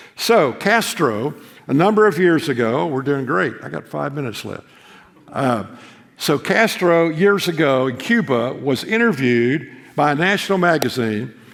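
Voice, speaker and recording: A man's fairly high voice with very wide pitch swings, a moderate pace and audible room echo. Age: 80s+. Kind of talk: chapel sermon. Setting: seminary chapel with live audience. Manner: conversational, repeats words often.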